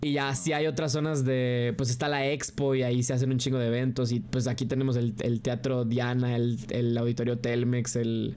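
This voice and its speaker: A man talks in a western Mexican accent. His tone is dark and mellow, with very even loudness. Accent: Mexican Spanish (western Mexico). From Guadalajara, Mexico. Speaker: streamer. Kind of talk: casual reaction chat. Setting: livestream. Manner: animated.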